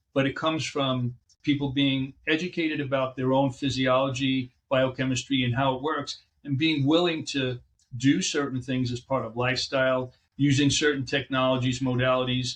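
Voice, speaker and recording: A man's monotone, flat intonation comes through in a somewhat breathy voice. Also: medium pitch for a man, moderate pace. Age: 60s. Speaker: chiropractic physician. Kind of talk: interview.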